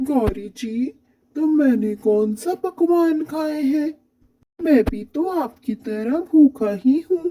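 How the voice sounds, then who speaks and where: Using a cartoonish character voice, the speaker talks at a high pitch and a fairly slow pace. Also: female-sounding voice. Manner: polite, mild.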